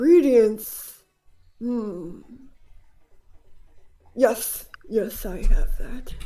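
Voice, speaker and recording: In a put-on character voice, a female-sounding speaker with a fairly high pitch talks at a very slow pace, leaving long, frequent pauses. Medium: actual play. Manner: muttering, fussy, erratic.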